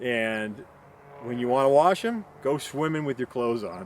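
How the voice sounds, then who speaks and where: A man at a moderate pace and medium pitch, with ordinary pitch variation. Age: 60s. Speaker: backpacking vlogger. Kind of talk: casual tutorial monologue. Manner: rambling, many fillers.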